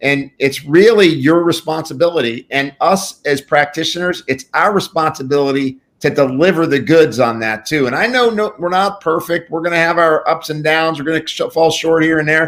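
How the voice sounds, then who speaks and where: This man has an unremarkable speaking voice, fairly high in pitch with ordinary variation, moving at a moderate pace with hardly any pauses. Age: 60s. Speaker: pharmacist and functional medicine practitioner. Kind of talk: interview.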